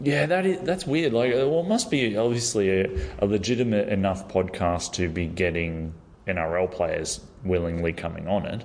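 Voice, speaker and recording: A man with a normal speaking voice, fairly low pitch, lively intonation and a moderate pace. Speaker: podcast host. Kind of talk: casual chat. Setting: studio.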